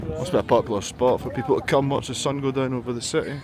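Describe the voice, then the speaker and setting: There is noticeable background noise as a man speaks with a Scottish accent. His pitch is medium and his pace moderate. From Scotland. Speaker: travel vlogger. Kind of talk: travel vlog narration. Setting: outdoors. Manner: animated.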